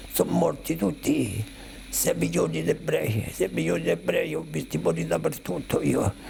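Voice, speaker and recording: A man speaks fairly slowly. There is noticeable background noise behind him. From Rome, Italy. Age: 80s+. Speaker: Holocaust survivor. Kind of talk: testimony.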